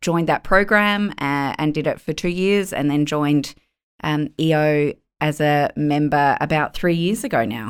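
An Australian accent in a very clean recording with a silent background. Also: woman. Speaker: lawyer and business owner. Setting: podcast studio.

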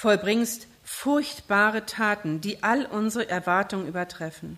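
At a very slow pace, a woman speaks with medium pitch. Her pitch variation is ordinary. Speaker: preacher. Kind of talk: sermon. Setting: church. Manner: impassioned, pleading, urgent preaching that builds intensity; rhetorical questions, repeated phrases.

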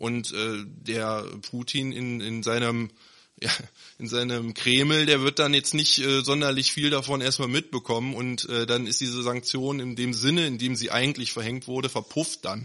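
The tone is bright and sharp, with fairly even intonation. The pace is moderate. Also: man, medium pitch for a man. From Neuss, Rhineland, Germany. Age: 30s. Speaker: local political candidate. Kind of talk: podcast interview.

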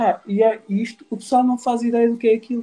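This man's voice has a dark, mellow tone. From Portugal, Lisbon area (Cacém). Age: 50s. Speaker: business owner. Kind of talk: casual chat.

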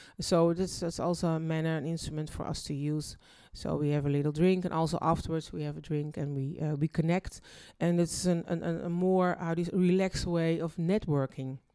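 Fairly quick and monotone, with flat intonation, a woman talks in a dark, mellow tone at a fairly low pitch. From Netherlands. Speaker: singer and dancer. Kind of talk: interview. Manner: halting.

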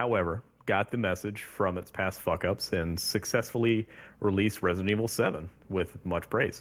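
He has an ordinary speaking voice, fairly low in pitch. This man keeps a moderate pace and fairly even intonation. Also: very clean recording, silent background. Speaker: podcast co-host. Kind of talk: casual chat.

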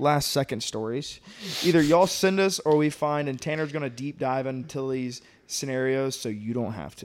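At a moderate pace, a man talks in an ordinary speaking voice with a fairly high pitch and ordinary pitch variation. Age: 20s. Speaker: podcast co-host. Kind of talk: casual chat. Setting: studio.

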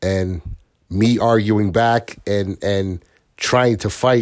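With an American accent and ordinary pitch variation, a man speaks at a fairly low pitch on a very clean recording with a silent background. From Bridgeport, Connecticut. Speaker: parent being interviewed. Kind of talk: casual interview.

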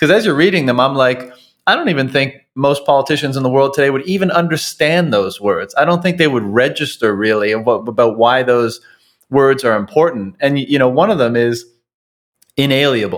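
Lively in intonation, a man with a normal speaking voice talks at a fairly high pitch and a fairly quick pace. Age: 30s. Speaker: podcast host. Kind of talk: interview conversation.

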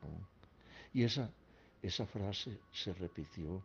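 A somewhat breathy voice at a very slow pace with ordinary pitch variation. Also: man. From Colombia, Caldas. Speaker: elderly family patriarch telling life story. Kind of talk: personal recorded memoir. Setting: at home. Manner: halting with repetitions.

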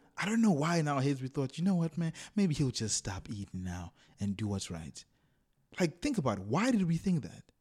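Fairly high in pitch and somewhat breathy, a man talks at a fairly quick pace with very wide pitch swings. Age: young. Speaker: podcast co-host. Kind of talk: casual chat.

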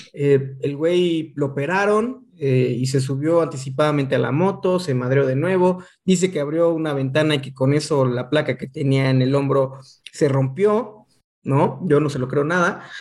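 Fairly high in pitch with ordinary pitch variation, a man talks at a moderate pace in an unremarkable speaking voice. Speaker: motorcycle podcast co-host. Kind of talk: casual chat.

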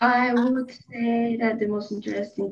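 A woman speaks at a moderate pace with a Spanish accent, her fairly high voice somewhat breathy. Her intonation stays fairly even against a quiet background. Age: 18. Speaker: student committee chair. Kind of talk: casual interview.

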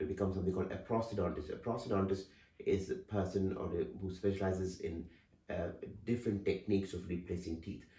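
A man's very deep, low, dark and mellow voice, somewhat breathy, at a very fast pace with fairly even intonation and audible room echo. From India. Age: 50s. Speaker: dental surgeon. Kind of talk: interview.

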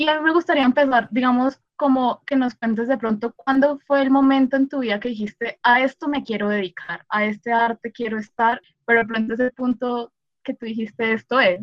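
Someone speaks with a Colombian accent at a fairly quick pace. The intonation is fairly even. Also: woman, high pitch for a woman. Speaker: podcast host, film student. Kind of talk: casual interview. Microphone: sound quality issues from technical problems.

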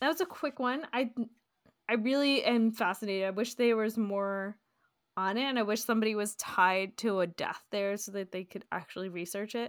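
Speaking at a moderate pace, a woman with a fairly high voice sounds enthusiastic, her pitch varying in an ordinary way. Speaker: podcast co-host. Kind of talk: casual chat. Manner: enthusiastic, interrupts.

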